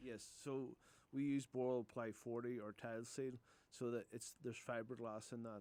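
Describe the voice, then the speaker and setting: A man speaks at a moderate pace with a medium pitch. His tone is dark and mellow, and his intonation is monotone and flat. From Northern Ireland, Newcastle (County Down). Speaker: roofing contractor. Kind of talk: radio interview. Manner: hesitant, repeats words.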